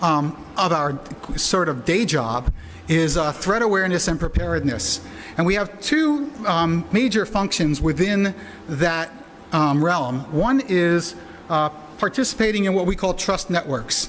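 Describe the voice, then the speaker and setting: Over noticeable background noise, a man speaks in a high pitch with lively intonation and very even loudness. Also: fairly slow pace. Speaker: internet security expert. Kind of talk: conference presentation. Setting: conference with interpreters. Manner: hesitant, many fillers.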